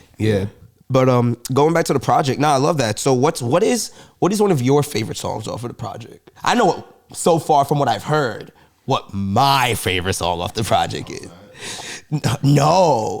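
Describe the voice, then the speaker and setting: A man with a New York accent talks in an animated tone. His pitch is fairly high and swings very widely. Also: moderate pace. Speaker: podcast co-host. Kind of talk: casual chat.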